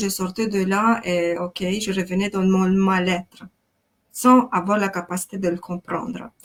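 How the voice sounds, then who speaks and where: Monotone and flat, a voice in a Romanian accent moves at a fairly slow pace. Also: woman. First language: Romanian (speaking French). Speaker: life coach. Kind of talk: interview testimony.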